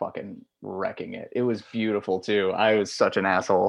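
A man speaks in a plain, everyday voice with a fairly low pitch. His intonation stays fairly even. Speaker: moped rider. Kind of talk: casual chat.

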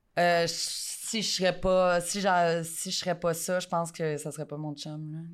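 A woman's fairly slow, fairly low-pitched voice in a Quebec accent, with monotone, flat intonation and big swings in loudness. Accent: Québécois French. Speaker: adult content creator. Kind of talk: casual interview.

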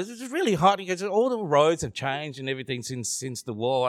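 In an Australian accent, the voice moves through very wide pitch swings. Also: man. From Vietnam. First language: Vietnamese. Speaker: comedian. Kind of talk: live panel discussion. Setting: stage with audience. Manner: joking.

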